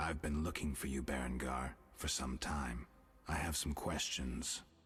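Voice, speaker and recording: In a put-on character voice, a man speaks with a very deep, low, raspy pitch and fairly even intonation at a moderate pace. His loudness stays very even while music plays in the background. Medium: video game. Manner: terse, level.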